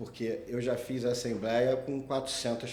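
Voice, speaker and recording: A man with a strong Rio de Janeiro accent speaks at a very slow pace and a medium pitch. Audible room echo surrounds his voice. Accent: strong carioca. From Rio de Janeiro, Brazil. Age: 40s. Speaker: condominium lawyer, podcast host. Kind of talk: casual chat.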